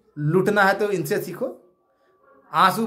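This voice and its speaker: A man speaks in an animated tone. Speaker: activist leader of job aspirants. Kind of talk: video address to followers.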